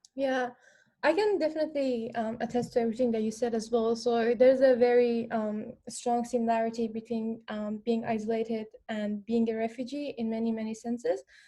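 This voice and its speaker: This woman has a fairly high pitch and a dark, mellow tone. She talks at a fairly quick pace with fairly even intonation. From Afghanistan. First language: non-English. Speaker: former refugee panelist. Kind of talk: panel discussion. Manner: hesitant, many fillers.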